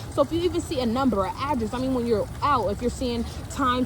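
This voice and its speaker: High-pitched woman with an American accent, moderate in pace and lively in intonation, over noticeable background noise. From San Francisco Bay Area, California. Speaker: spiritual reader and channeler. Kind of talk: collective spiritual reading, casual talk to camera. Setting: outdoors by a pond. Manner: casual, slangy, repetitive.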